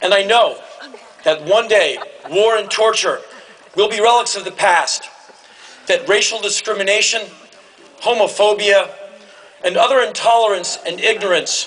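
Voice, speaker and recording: Against noticeable background noise, a man with a high pitch speaks at a moderate pace with long, frequent pauses. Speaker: commencement speaker. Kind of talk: commencement speech to a live audience. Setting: large hall with audience cheering and laughing.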